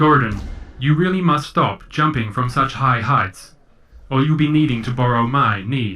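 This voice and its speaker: The speaker is a man in a medium pitch. He uses a put-on character voice. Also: moderate pace. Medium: actual play. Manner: calm, polite, precise.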